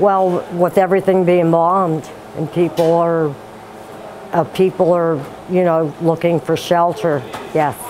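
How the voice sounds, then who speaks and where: A woman with a fairly low pitch speaks at a fairly slow pace in a monotone, flat delivery, with long, frequent pauses and noticeable background noise. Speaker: church volunteer. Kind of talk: interview.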